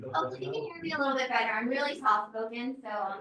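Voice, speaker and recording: A woman is heard in a room with audible echo and noticeable background noise. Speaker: mayoral candidate. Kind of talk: campaign speech. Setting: pub meeting with audience. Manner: soft-spoken. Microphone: no microphone, hard to hear.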